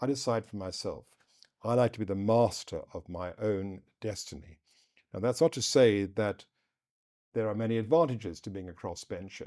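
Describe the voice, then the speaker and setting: A man with a fairly low pitch and a dark, mellow tone speaks at a moderate pace, with ordinary pitch variation and big swings in loudness. The recording is very clean, with a silent background. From southern Africa. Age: 60s. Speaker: politician. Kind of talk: interview. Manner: occasional stutter.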